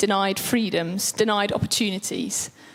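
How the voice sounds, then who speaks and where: The voice is loud. It moves at a fairly slow pace. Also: woman. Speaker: preacher. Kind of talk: sermon. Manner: animated.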